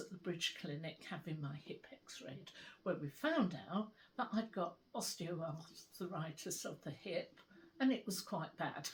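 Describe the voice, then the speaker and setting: In a British accent, a somewhat breathy woman talks at a fairly slow pace with ordinary pitch variation. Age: 80s+. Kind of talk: interview answer. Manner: conversational, hesitant.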